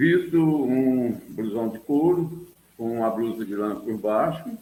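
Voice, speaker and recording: With a dark, mellow tone and a medium pitch, a man speaks at a very slow pace. His intonation is lively. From southern Minas Gerais, Brazil. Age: 70s. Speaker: teacher and local storyteller. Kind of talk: interview.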